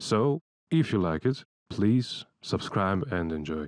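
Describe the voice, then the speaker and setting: A man's fairly low voice with very wide pitch swings at a fairly slow pace, dry and close with no echo, over a quiet background. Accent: non-native. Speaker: video creator, interviewer. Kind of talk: scripted narration intro.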